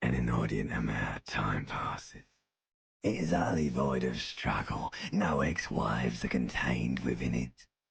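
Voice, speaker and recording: This man's pitch is very deep and low. He is doing a put-on character voice. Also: moderate pace. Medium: video game. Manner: slow, languid, seductive.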